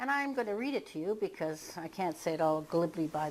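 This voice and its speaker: A woman with an unremarkable speaking voice, medium pitch, lively intonation and a fairly quick pace. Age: 60s. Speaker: hypnotherapist. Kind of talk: casual talk to camera. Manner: casual.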